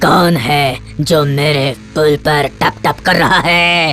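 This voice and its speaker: Someone puts on a character voice at a low-to-middle pitch, speaking at a fairly slow pace with clear music in the background. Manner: shouting.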